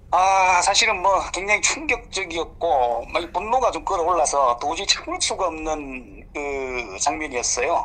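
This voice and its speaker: A man speaks with a high pitch and a bright, sharp tone. His pace is fairly slow, with hardly any pauses and lively intonation. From South Gyeongsang, Korea. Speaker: politician. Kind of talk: phone interview.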